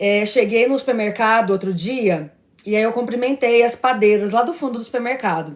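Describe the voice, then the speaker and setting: A woman with a fairly high voice speaks in an animated tone, her pitch moving in an ordinary way. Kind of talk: religious live stream talk. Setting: live stream. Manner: fast.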